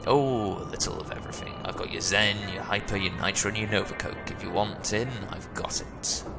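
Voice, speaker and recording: Over loud background noise, a man does a put-on character voice that is guttural and fairly low, moving at a fairly quick pace. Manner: cheerful, conspiratorial.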